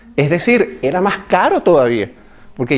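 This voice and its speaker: A man with a Venezuelan accent, over noticeable background noise. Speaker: pastor. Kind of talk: sermon. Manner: conversational, addresses audience with questions.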